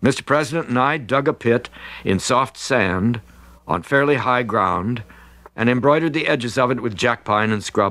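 An unforced reading voice moves through ordinary shifts in pitch.

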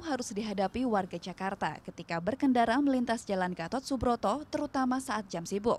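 With lively intonation and a high pitch, a woman talks at a fairly quick pace with hardly any pauses. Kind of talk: news reading. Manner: formal, measured, steady newsreader delivery; clear, even and authoritative, voice-over narration pace.

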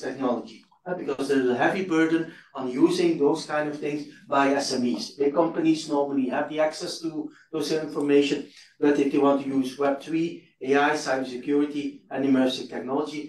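There is audible room echo and light background noise as a man speaks at a moderate pace with fairly even intonation. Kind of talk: conference talk. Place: hall.

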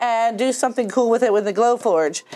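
The voice moves at a fairly quick pace with ordinary pitch variation over light background noise. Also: woman. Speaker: craft channel co-host. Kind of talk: tutorial intro chat. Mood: upbeat, light laughs. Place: workshop. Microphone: lapel.

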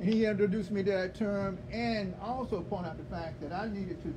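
Over noticeable background noise, a high-pitched man talks at a very fast pace. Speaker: guest. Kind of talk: sermon. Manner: playful, warm. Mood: warm, grateful. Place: church. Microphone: camera far.

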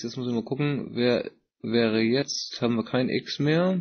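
A man's ordinary speaking voice at a medium pitch, fairly slow pace and ordinary pitch variation. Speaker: meeting moderator. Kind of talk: moderated group discussion. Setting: online voice chat conference.

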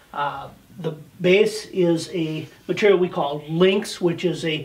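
A man's voice sits at a high pitch, with fairly even intonation. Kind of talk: product demonstration.

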